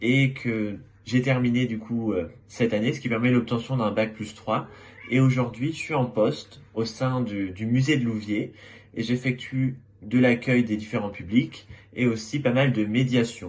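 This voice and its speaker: Speaking at a fairly slow pace, a man uses a plain, everyday voice at medium pitch with fairly even intonation. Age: 20s. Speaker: former student. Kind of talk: testimony.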